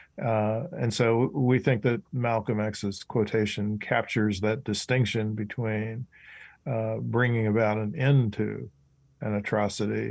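A man with an unremarkable speaking voice talks at a fairly slow pace and fairly low pitch. His intonation is fairly even, and the background is quiet. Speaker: professor and author. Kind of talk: interview.

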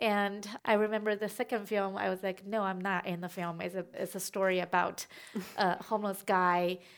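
A woman with a Chinese accent speaks at a moderate pace in a medium pitch and a flat monotone, on a very clean recording with a silent background. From China. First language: Mandarin Chinese. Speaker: documentary filmmaker. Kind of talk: onstage conversation. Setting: festival stage.

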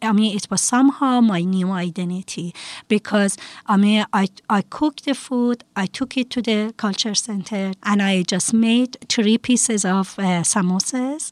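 In a dry, close recording with no echo, a woman with an Iranian accent speaks fairly slowly at medium pitch with ordinary pitch variation. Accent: Iranian (Persian). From Iran, Tehran. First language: Persian (Farsi). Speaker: preschool teacher. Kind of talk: casual interview.

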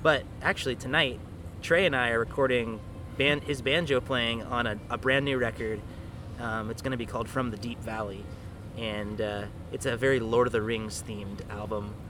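Audible room echo colors a man's voice at medium pitch. He speaks at a moderate pace with ordinary pitch variation. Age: 30s. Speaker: folk band frontman. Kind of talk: backstage interview.

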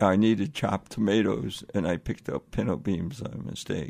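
A man's voice with vocal fry. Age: 80s+. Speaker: blind travel show host, journalist. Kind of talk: interview. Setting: radio studio.

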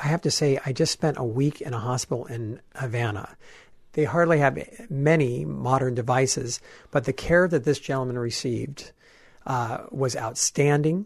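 A man speaks at a moderate pace with a somewhat breathy voice over a quiet background. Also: medium pitch for a man, ordinary pitch variation. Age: 40s. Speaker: travel expert and tour leader. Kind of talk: radio interview.

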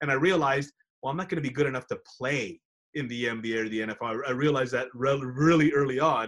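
An unremarkable speaking voice comes through with an American accent. The pitch varies in an ordinary way. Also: man. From Texas, San Antonio. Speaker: sports broadcaster. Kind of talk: interview.

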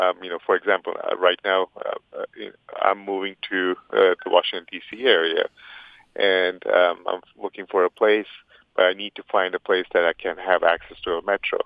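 Long, frequent pauses break up a man's speech, which otherwise moves at a moderate pace. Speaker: accessibility policy director. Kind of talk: interview.

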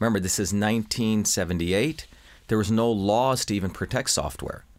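A man with an American accent and an unremarkable speaking voice, medium in pitch, at a fairly quick pace, on a very clean recording with a silent background. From India, then US from age seven. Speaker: inventor and scientist. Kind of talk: interview.

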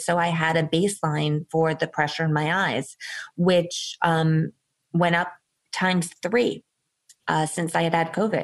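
Against a quiet background, a woman with a plain, everyday voice talks at a moderate pace, fairly low in pitch and with fairly even intonation. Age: 40s. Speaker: founder of a COVID survivor support group. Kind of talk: interview.

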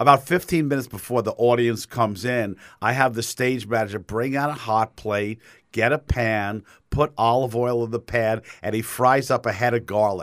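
In a New York accent, a man with a medium-pitched voice talks at a moderate pace with fairly even intonation, on a very clean recording with a silent background. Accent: New York, thickening. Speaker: theater director. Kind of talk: radio interview.

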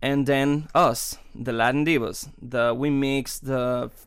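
Someone speaks very slowly with a Spanish accent and fairly even intonation in a very clean recording with a silent background. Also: man. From Cuba. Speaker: opera singer. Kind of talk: interview. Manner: halting.

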